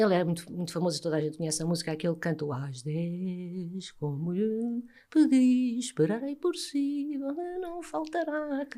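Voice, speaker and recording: A woman with a European Portuguese accent speaks at a moderate pace, her pitch swinging very widely. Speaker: former TV presenter, psychologist. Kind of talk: interview answer.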